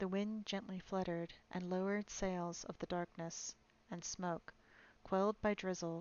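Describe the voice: The clip is plain reading aloud, delivered with fairly even intonation.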